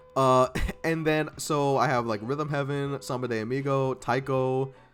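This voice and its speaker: Noticeable background noise sits under a man speaking at a moderate pace and medium pitch. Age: 20s. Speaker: streamer. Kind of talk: casual livestream self-introduction. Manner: animated.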